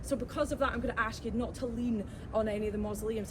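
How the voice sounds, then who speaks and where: Over noticeable background noise, a woman with a Glaswegian accent talks at a very fast pace. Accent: Glaswegian Scottish. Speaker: tour guide. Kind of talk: guided tour talk. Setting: outdoors. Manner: animated.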